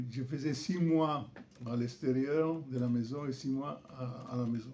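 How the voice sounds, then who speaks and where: Audible room echo surrounds a man with an Italian accent who speaks very slowly at a medium pitch with fairly even intonation. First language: Italian (speaking French). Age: 70s. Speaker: fencing master. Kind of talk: interview. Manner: halting.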